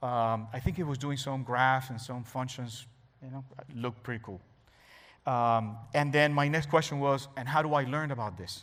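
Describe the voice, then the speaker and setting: A man with a Spanish accent speaks at a moderate pace and medium pitch, his intonation fairly even but his loudness swinging widely. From Cuba. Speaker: cybersecurity expert. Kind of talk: talk to an audience.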